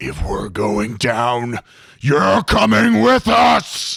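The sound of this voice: A man's raspy, put-on character voice at a very slow pace. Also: medium pitch for a man.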